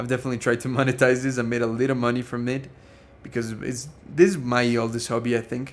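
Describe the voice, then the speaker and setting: A man's voice sits at a medium pitch. He talks fairly quickly. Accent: Spanish. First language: Spanish. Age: 20s. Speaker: streamer and productivity course creator. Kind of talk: live stream Q&A chat. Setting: live stream. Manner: casual, hesitant with repetitions.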